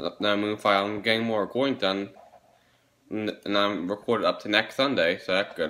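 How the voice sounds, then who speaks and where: A man speaks at a moderate pace in a fairly low pitch with ordinary pitch variation. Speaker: vlogger. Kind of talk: casual vlog chat. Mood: impatient, a bit bored. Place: home room. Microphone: phone near.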